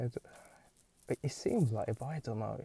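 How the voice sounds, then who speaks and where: The recording is dry and close, with no echo. A man talks at a fairly quick pace in a dark, mellow tone. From Hungary. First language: Hungarian. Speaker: podcaster. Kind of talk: casual monologue. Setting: in a car. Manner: halting.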